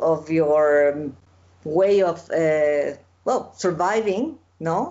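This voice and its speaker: With a Spanish accent, a woman talks in a fairly low voice. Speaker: festival interviewer. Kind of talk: interview conversation. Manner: halting.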